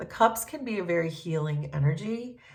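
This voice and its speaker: Audible room echo surrounds a woman's fairly low, somewhat breathy voice. She speaks at a moderate pace with lively intonation. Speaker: tarot reader and reiki healer. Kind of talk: collective tarot reading. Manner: casual, hesitant with fillers.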